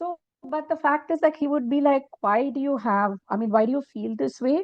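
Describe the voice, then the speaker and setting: Speaking at a moderate pace, a woman uses a high voice with ordinary pitch variation. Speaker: executive coach. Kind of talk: interview answer.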